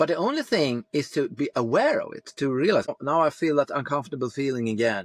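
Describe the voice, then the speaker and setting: With a Swedish accent, a man talks at a very fast pace and fairly high pitch, with hardly any pauses. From Sweden. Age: 50s. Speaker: former police tactical leader, men's coach. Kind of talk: podcast interview. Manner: halting.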